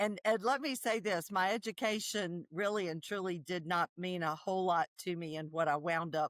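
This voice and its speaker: The speech comes at a moderate pace with ordinary pitch variation, in a Southern US accent. The recording is very clean, with a silent background and a dry, close sound with no echo. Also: woman. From South Carolina, US South. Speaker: nonprofit founder, traumatic stress expert. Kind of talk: podcast interview.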